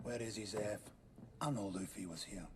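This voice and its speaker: Over clear background noise, a man does a raspy put-on character voice at a fairly low pitch, with ordinary pitch variation and a moderate pace. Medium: short film. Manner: gruff, grumbling.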